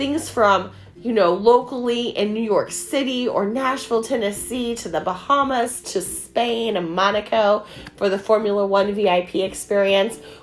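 Noticeable background noise sits behind a woman with a fairly high voice and ordinary pitch variation. Her tone is animated, though her pace is fairly slow. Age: 40s. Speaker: direct sales recruiter. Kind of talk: sales pitch.

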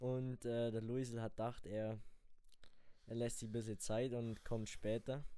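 Monotone and flat, a man with a dark, mellow tone and medium pitch speaks at a fairly slow pace, leaving long, frequent pauses. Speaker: podcast host. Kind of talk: casual chat.

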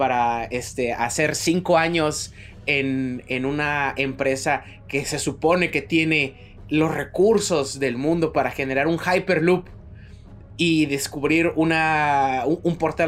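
A man with a Mexican accent speaks at a very slow pace, his fairly high pitch showing ordinary variation, with music in the background. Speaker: podcast co-host. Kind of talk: casual chat.

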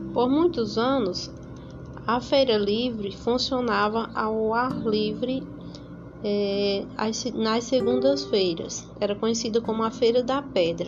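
A woman's fairly high voice with a northeastern Brazilian accent, very slow pace, ordinary pitch variation and audible room echo. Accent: Northeastern Brazilian Portuguese (Paraíba). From Paraíba, Brazil (São Bento). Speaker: local history presenter. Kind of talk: scripted narration.

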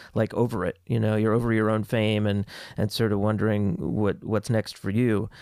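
A normal speaking voice at a moderate pace. The recording is very clean, with a silent background. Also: man. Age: 50s. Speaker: podcast co-host and cartoonist. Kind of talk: casual chat.

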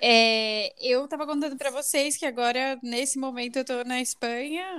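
A high-pitched woman's voice with ordinary pitch variation. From São Paulo, Brazil. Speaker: marketing professional. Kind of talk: casual chat.

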